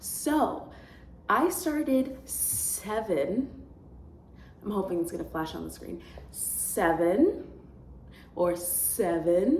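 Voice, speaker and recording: A woman at a very slow pace, with long, frequent pauses, big swings in loudness, and audible room echo. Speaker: student vlogger. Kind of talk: casual vlog talk. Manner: rambling, self-correcting.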